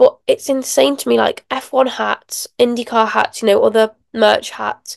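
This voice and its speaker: A woman with a British accent, in a dry, close sound with no echo. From England. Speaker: motorsport podcaster. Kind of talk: casual solo podcast review. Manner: animated.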